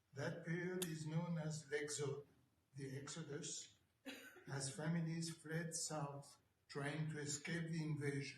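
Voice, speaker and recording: With monotone, flat intonation, a man talks at a fairly high pitch. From France, Paris suburbs. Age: 80s+. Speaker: Holocaust survivor. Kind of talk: testimony.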